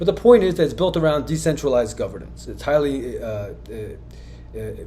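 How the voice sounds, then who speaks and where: A man's very fast speech with audible room echo and music in the background. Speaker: crypto commentator, former company owner. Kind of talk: video monologue on crypto markets.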